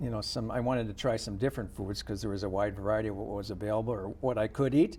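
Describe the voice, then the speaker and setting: A man with a plain, everyday voice, fairly low pitch and ordinary pitch variation. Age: 50s. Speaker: interview guest on health show. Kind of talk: interview.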